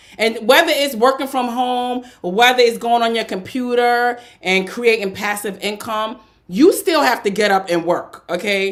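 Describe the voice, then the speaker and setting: A slight New York accent at a moderate pace, with ordinary pitch variation, on a very clean recording with a silent background. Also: woman, fairly high pitch for a woman. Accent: New York tinge. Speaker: podcast co-host. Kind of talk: casual chat. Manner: blunt, direct.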